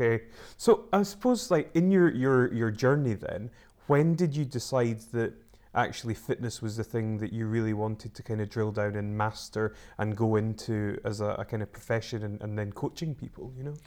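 In an ordinary speaking voice, a man talks at a moderate pace and medium pitch, with ordinary pitch variation. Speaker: podcast host. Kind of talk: interview conversation.

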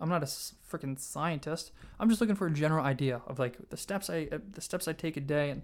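A man's fairly high voice comes through a very clean recording with a silent background. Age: 20s. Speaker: podcaster. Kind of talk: casual chat. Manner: fast talker; casual.

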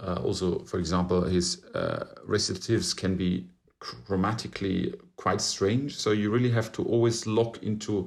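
A German accent at a moderate pace with fairly even intonation, in a very clean recording with a silent background. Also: man. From Germany, Bavaria (Regensburg). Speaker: classical baritone singer. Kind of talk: interview conversation.

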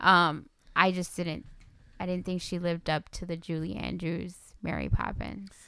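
A woman speaks at a moderate pace with a fairly low pitch. Her tone is bright and sharp, her intonation monotone and flat. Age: 30s. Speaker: podcast co-host. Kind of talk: casual chat about films.

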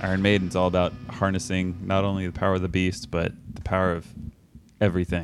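Over music in the background, a man talks at a very fast pace in a very deep, low voice with monotone, flat intonation. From Texas, Austin. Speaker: podcast co-host. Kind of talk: casual chat.

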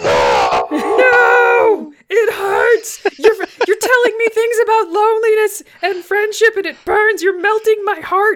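Extremely high pitch in a put-on character voice, fairly slow in pace. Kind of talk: dramatic. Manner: exaggerated agony, mock pain.

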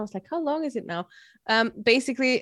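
This woman speaks with an Austrian accent and ordinary pitch variation, and the sound is dry and close with no echo. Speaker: podcaster. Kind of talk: casual chat. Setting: video call.

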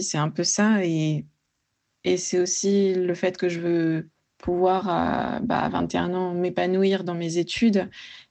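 A woman's medium-pitched voice holds a fairly even intonation. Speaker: pharmacy student. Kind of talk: voice message. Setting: voice message.

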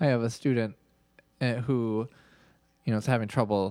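In a very clean recording with a silent background, a man with an ordinary speaking voice talks at a fairly quick pace, with fairly low pitch and fairly even intonation. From Minnesota. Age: 30s. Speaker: podcast host and golf coach. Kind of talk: casual chat.

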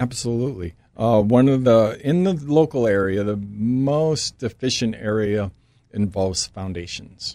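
A man speaks at a medium pitch and a fairly slow pace. His tone is dark and mellow, with lively intonation. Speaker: home inspector. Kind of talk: casual interview chat. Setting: studio.

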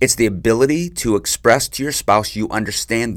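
A man with a fairly low pitch, vocal fry and lively intonation speaks at a moderate pace in a very clean recording with a silent background. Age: 40s. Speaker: marriage podcast host. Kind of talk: solo advice podcast monologue.

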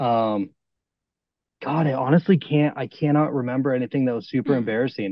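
A man with an ordinary speaking voice, talking at a fairly quick pace with ordinary pitch variation. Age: 30s. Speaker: electronic music artist on tour. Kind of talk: casual chat.

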